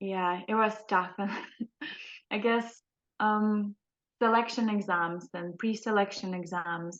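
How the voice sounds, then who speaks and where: Against a quiet background, a woman with a non-native accent talks at a very slow pace and medium pitch, her intonation fairly even and her pauses long and frequent. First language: not English. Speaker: trainee clinical psychologist. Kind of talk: casual interview chat. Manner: hesitant, many fillers.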